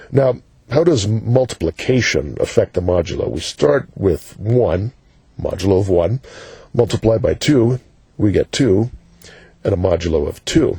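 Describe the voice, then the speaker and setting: A man with vocal fry talks at a medium pitch and a moderate pace, his tone dark and mellow. His intonation is lively, and the sound is dry and close with no echo. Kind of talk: educational math explanation. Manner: casual, conversational with fillers.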